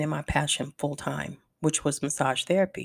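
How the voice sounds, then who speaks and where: A woman's very deep, low-pitched voice with vocal fry and fairly even intonation, dry and close with no echo, on a very clean recording with a silent background. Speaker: wellness podcast host. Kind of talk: solo podcast monologue. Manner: slower than usual.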